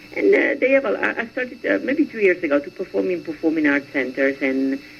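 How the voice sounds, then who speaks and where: A woman speaks at a fairly quick pace in a fairly low pitch with very wide pitch swings. Noticeable background noise is present. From Venice, Italy. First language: Italian. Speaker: singer. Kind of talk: radio interview. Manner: halting.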